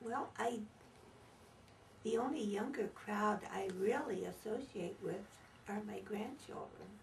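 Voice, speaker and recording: A woman speaks at a fairly slow pace in a fairly high voice with ordinary pitch variation and long, frequent pauses, with audible room echo and noticeable background noise. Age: 80s+. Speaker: elderly interviewee. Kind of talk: interview.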